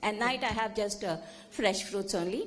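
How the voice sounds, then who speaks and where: A woman speaking at a moderate pace, with audible room echo and noticeable background noise. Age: 70s. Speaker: audience member at a conference. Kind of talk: audience comment at a conference.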